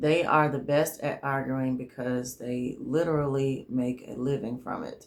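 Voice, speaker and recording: A fairly slow delivery in a Southern US accent, with hardly any pauses. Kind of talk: faith-based advice monologue. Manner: trouble pronouncing 'argue'.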